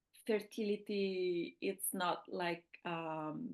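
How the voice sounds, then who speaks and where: A woman's bright, sharp, medium-pitched voice with an Italian accent and ordinary pitch variation, over a quiet background. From Italy. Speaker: fertility awareness teacher. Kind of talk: interview.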